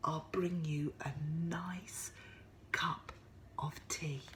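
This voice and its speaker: A woman whispers in a put-on character voice at a very slow pace. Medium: read story. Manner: warm, cheerful.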